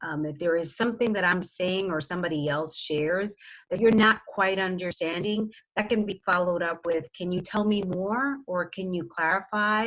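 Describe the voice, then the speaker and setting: With an American accent, a woman uses a plain, everyday voice at medium pitch with ordinary pitch variation. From New York City. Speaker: workshop presenter, education professor and DEI consultant. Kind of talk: workshop presentation.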